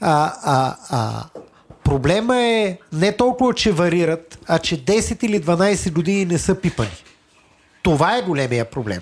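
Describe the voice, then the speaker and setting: A man with a high voice speaks at a fairly slow pace, his pitch swinging very widely. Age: 40s. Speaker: property developer. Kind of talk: interview.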